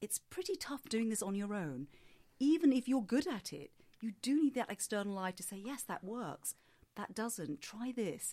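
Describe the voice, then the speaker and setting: A somewhat breathy, fairly high-pitched woman at a moderate pace, with very wide pitch swings and big swings in loudness. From Singapore. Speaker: voice coach. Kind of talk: interview. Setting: podcast.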